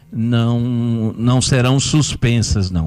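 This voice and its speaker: Medium-pitched male speech in a dark, mellow tone with ordinary pitch variation. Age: 60s. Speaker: mayor and physician. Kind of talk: radio interview. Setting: radio studio.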